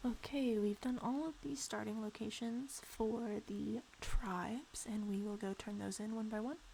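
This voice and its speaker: A quiet woman at a fairly high pitch, fairly slow pace, ordinary pitch variation and hardly any pauses. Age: 20s. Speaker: video game streamer. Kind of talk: casual gameplay stream chat. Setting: bedroom in parents' house, live stream.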